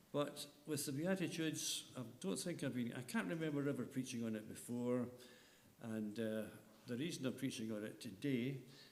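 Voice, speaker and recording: A man talks at a moderate pace and medium pitch with ordinary pitch variation, and the room echo is audible. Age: 70s. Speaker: lay preacher. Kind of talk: sermon.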